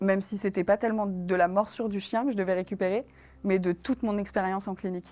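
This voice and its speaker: A woman talks at a very fast pace in a medium pitch. Her tone is dark and mellow, with fairly even intonation. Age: 20s. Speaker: former veterinary assistant. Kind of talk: testimony. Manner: halting, many hesitations.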